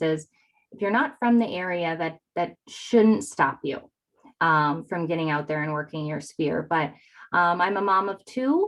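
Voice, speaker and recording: With a slight northern Wisconsin accent, a woman speaks at a fairly slow pace with ordinary pitch variation. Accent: slight Yooper northern Wisconsin. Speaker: real estate agent. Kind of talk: interview. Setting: video call.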